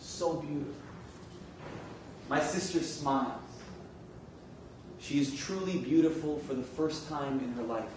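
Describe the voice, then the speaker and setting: Very slow speech in an American accent with fairly even intonation, over noticeable background noise. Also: man. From New York City. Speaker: spoken word poet. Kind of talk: spoken word poetry performance.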